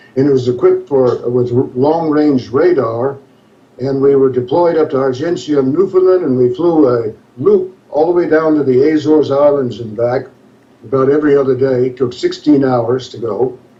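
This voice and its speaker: There is noticeable background noise as a man with an American accent and a fairly high pitch speaks at a moderate pace with ordinary pitch variation. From US South, northern Louisiana (West Monroe). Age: 70s. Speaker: author, navy veteran. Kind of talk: interview.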